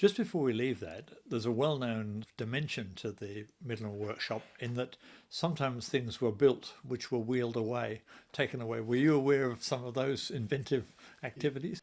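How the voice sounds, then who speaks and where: A man's unremarkable speaking voice at medium pitch, moderate in pace, with ordinary pitch variation. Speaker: interviewer. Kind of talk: interview questions.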